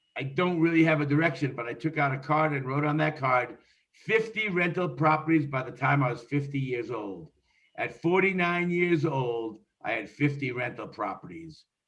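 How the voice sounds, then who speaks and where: With a plain, everyday voice, a man talks at a moderate pace with fairly high pitch and ordinary pitch variation. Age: 60s. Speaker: real estate investor. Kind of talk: interview.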